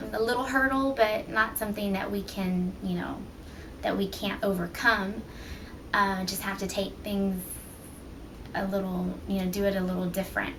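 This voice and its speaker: The speech moves at a moderate pace with fairly even intonation and long, frequent pauses. Noticeable background noise and audible room echo are present. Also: woman. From US, Mexican-American family. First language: Spanish. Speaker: mother, family vlogger. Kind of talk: casual chat. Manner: hesitant, many fillers.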